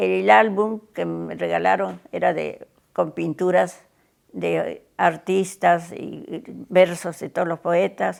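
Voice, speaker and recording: A woman talks very slowly, and the recording is very clean with total silence behind her. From Peru. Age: 90s. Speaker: interviewee, witness of history. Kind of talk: testimony. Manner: halting.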